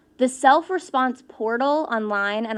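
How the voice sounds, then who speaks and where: At a moderate pace, a woman talks in a high voice with lively intonation. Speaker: census partnership manager giving a talk. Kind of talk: conference presentation. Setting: room with live audience. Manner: casual, conversational with fillers; stumbles on words.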